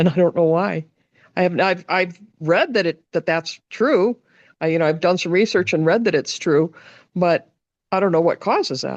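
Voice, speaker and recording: Against a quiet background, a woman with a fairly low pitch uses an ordinary speaking voice with ordinary pitch variation at a moderate pace, the sound dry and close with no echo. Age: 60s. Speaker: meditation group participant. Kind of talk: casual chat.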